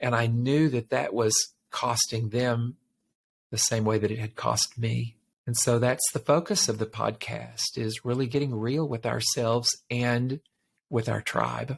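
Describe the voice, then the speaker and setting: A somewhat breathy man at a fairly slow pace, with fairly even intonation, on a very clean recording with a silent background. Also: medium pitch for a man. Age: 60s. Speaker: life coach and podcast host. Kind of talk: interview testimony.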